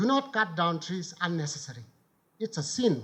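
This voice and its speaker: A man is speaking. He has a Bhutanese accent. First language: Kurtoep. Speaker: former member of parliament and author. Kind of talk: conference talk.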